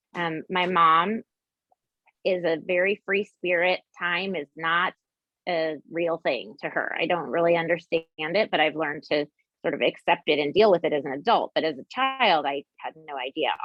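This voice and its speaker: A woman with a Texas accent, fairly low in pitch, at a moderate pace with ordinary pitch variation. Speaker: dietitian. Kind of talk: interview.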